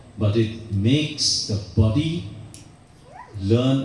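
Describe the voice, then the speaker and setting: Noticeable background noise and audible room echo surround a man speaking at medium pitch. His pitch variation is ordinary. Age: 80s+. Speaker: yoga teacher and care founder. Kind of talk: interview.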